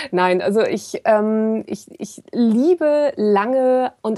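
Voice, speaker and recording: A woman's fairly high, dark and mellow voice with lively intonation. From northern Germany, Kiel. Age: 40s. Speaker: ultrarunner and blogger. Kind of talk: casual chat.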